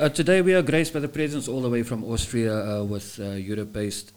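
This man has a plain, everyday voice at a medium pitch. He talks at a fairly quick pace with ordinary pitch variation. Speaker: podcast host. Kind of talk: casual podcast chat.

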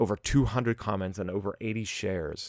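In a normal speaking voice, a man with an American accent talks at a moderate pace and fairly low pitch, with ordinary pitch variation and a dry, close sound with no echo. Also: very clean recording, silent background. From US, Pittsburgh. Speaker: podcast host. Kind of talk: casual solo podcast monologue.

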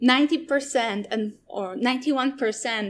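Someone speaks with a Polish accent and ordinary pitch variation. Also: woman. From Poland. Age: 30s. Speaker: zero-waste shop owner. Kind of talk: interview. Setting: online session.

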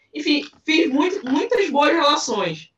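At a fairly slow pace, this woman talks with lively intonation. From Belém, Pará, northern Brazil. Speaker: anthropologist. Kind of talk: interview.

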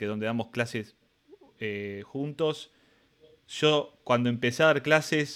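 At medium pitch and with ordinary pitch variation, a man speaks with an Argentine accent. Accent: Rioplatense Argentine Spanish. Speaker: podcast host and teacher. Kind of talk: casual interview chat. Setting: live-streamed video call. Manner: fast.

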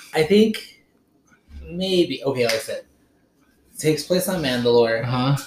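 A man with a fairly high, somewhat breathy voice talks fairly slowly, his pitch varying in an ordinary way. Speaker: podcast host. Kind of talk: casual chat. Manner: excitable.

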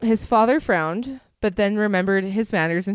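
Quiet surroundings behind a natural reading voice.

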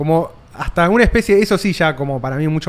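A man speaks in an ordinary speaking voice. His pitch is fairly high and his pace fairly quick. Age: 30s. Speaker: podcast host. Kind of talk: casual interview chat. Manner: casual.

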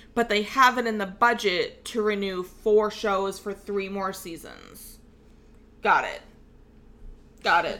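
The bright, sharp voice moves at a very slow pace with fairly even intonation. Loudness swings widely, and long pauses come often. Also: woman, medium pitch for a woman. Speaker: podcast host. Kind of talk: casual chat.

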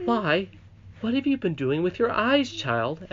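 In a put-on character voice, a man speaks at a fairly slow pace, high-pitched and shaky, with very wide pitch swings. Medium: read story. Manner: gentle, kindly.

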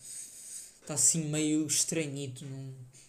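Here a man talks with a European Portuguese accent. Room echo is audible. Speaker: solo podcaster. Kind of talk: casual solo monologue. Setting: home desk.

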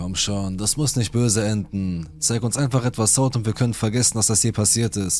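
A man speaks at a moderate pace with hardly any pauses and ordinary pitch variation. His fairly low voice is an unremarkable speaking voice. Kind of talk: true-crime horror narration, reading Reddit stories aloud. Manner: grave, suspenseful storyteller tone, tense and menacing in threatening quotes.

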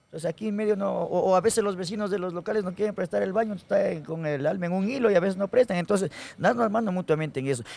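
Against noticeable background noise, a man with a high pitch talks at a very fast pace with hardly any pauses, using an animated tone and ordinary pitch variation. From Ecuador, Guaranda (Bolívar). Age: 40s. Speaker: comedian. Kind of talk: casual chat.

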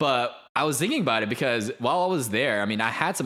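A man at medium pitch, very fast, with a bright, sharp tone. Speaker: podcast co-host, aspiring actor. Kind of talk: casual chat. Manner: loud.

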